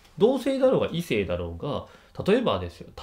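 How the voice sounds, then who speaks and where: A man speaks in an animated tone at a moderate pace. The background is quiet. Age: 30s. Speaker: YouTuber reviewing TV dramas. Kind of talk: casual commentary monologue. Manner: animated, frequent laughter.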